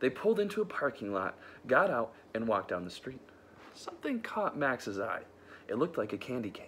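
The clip is plain reading aloud.

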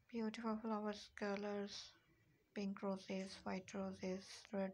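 Speaking slowly at a medium pitch, a woman has a slightly husky edge, vocal fry and little pitch movement.

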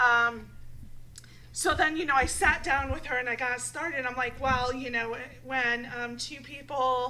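A woman's raised, projected voice, high-pitched with a bright, sharp tone and ordinary pitch variation, over light background noise. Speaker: talk show co-host. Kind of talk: casual chat. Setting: studio. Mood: playful, frank, laughing. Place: studio. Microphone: studio mic.

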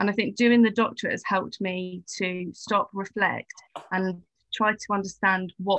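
A woman with a British accent, bright and sharp in tone, at a moderate pace, with a dry sound with no echo and a quiet background. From England. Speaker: teacher and education researcher. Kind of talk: casual interview. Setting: video call. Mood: thoughtful, earnest. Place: home room. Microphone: video call.

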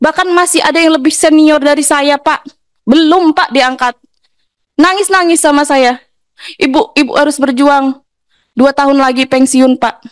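A woman speaks with a high pitch at a fairly slow pace. The sound is dry and close, with no echo. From Lampung, Indonesia. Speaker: honorary teacher. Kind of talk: emotional plea at hearing. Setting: parliamentary hearing room. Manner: pleading, emotional.

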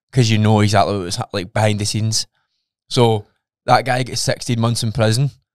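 Over a quiet background, a man speaks fairly quickly in a fairly low, monotone voice with flat intonation and a dry sound with no echo. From Scotland. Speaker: podcast co-host. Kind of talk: casual chat. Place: studio. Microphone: studio mic.

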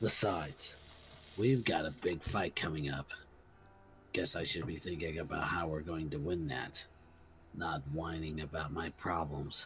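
In a gruff, put-on character voice with a very deep, low pitch and ordinary pitch variation, a man talks at a moderate pace with long, frequent pauses, while clear background noise sits behind him. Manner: gruff, cold.

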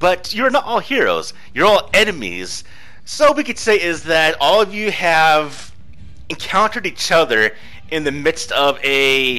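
Noticeable background noise sits behind this man. His intonation is lively and his pitch fairly high. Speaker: game master. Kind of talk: tabletop roleplaying narration. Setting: online voice chat. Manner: casual, laughs often.

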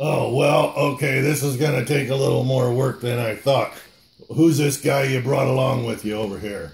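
A man's raspy, put-on character voice at medium pitch and a moderate pace. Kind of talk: church puppet skit. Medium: puppet.

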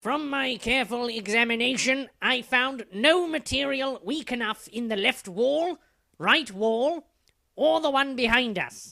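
In a raised, projected, cartoonish character voice, a man speaks at an extremely high pitch and a fairly slow pace with ordinary pitch variation. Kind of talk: comic overacting. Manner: pompous, lecturing, archaic flourishes; fussy, scolding when hushing.

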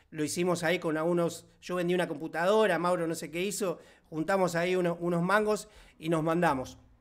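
With a Rioplatense accent, a man talks at a fairly quick pace in a high voice against a quiet background. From Argentina. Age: 40s. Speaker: online course instructor. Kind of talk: live online class. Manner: animated. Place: home room. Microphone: studio mic.

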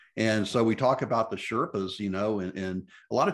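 Someone with an American accent speaks at a fairly quick pace with ordinary pitch variation against a quiet background. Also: man. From US South, Memphis; Tennessee. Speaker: podcast host, mountaineering blogger. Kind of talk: casual interview. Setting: video call. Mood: warm, conversational. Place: home room. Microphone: video call.

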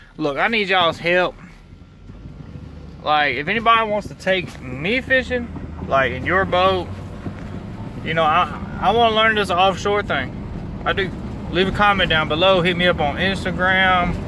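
At a moderate pace with ordinary pitch variation and long, frequent pauses, the speech has a dry sound with no echo and noticeable background noise. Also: man, high pitch for a man. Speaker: fishing vlogger. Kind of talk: casual vlog chat. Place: car. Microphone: phone near.

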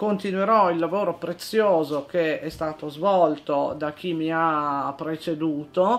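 With hardly any pauses, a woman talks at a very slow pace in a fairly low pitch, using ordinary pitch variation. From Italy, Turin (Piedmont). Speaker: lawyer, newly appointed equality adviser. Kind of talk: interview. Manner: hesitant, many fillers. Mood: calm, earnest.

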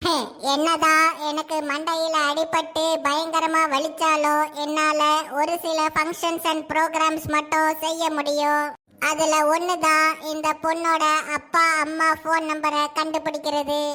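A woman speaks in a cartoonish character voice at an extremely high pitch. Her pace is fairly slow and her intonation is monotone and flat. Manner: eager, helpful.

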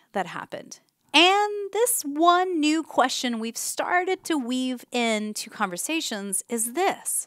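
A woman talks very slowly, her pitch swinging very widely. The sound is dry with no echo, and the background is quiet. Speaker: presenter. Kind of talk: casual advice talk to camera. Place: home room. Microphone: headset.

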